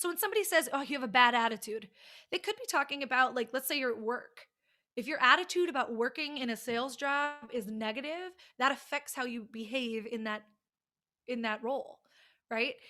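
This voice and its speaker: In an American accent, a woman talks at a fairly quick pace in a high pitch, her raised, projected voice bright and sharp, with an animated tone and lively intonation. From United States. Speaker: college communication teacher. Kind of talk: lecture. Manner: loud.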